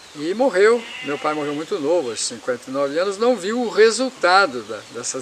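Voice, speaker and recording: A man's high-pitched voice with very wide pitch swings, at a fairly quick pace, amid noticeable background noise. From Paraná, Brazil. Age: 70s. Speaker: former city councillor. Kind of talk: interview answer, life story.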